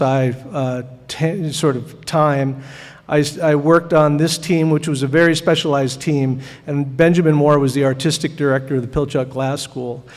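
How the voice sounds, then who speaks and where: In an American accent, a man with a fairly high pitch speaks at a moderate pace with fairly even intonation, with audible room echo and noticeable background noise. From US Pacific Northwest, Seattle. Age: 60s. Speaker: glass artist. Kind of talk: artist lecture. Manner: halting, many fillers.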